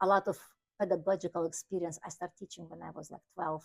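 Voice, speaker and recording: In a dry, close sound with no echo, a woman with a slight Ukrainian accent talks at a fairly quick pace in a fairly low pitch, her intonation monotone and flat. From Ukraine. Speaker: piano teacher. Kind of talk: interview. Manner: halting.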